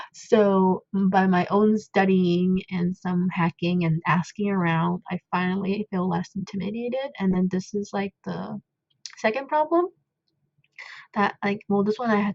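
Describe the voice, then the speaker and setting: A woman with a non-native accent speaks in a medium, somewhat breathy voice. Her pace is fairly slow. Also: fairly even intonation. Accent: self-described non-native. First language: not English. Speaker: coding tutorial creator, parent. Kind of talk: tutorial. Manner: hesitant, many fillers; casual, chatty.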